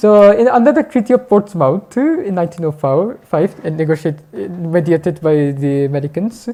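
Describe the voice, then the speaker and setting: A woman with a non-native accent speaks at a moderate pace with hardly any pauses, her fairly low voice carrying lively intonation. Noticeable background noise runs underneath. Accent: foreign. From Pakistan. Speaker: speaker at a public talk. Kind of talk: lecture. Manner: halting, many fillers and restarts.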